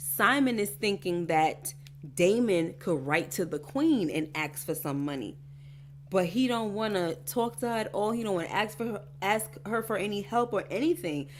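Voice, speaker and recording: Animated in tone and lively in intonation, a woman speaks at a moderate pace with a fairly low pitch and vocal fry. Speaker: YouTube TV show reactor. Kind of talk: casual TV recap chat. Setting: livestream.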